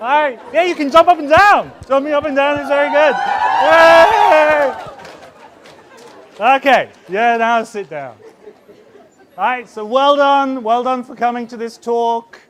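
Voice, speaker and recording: Crowd noise fills the background as a man talks at an extremely high pitch and a fairly slow pace, with long, frequent pauses. His tone is animated, with lively intonation and big swings in loudness. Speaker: university presenter at a conference. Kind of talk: conference talk.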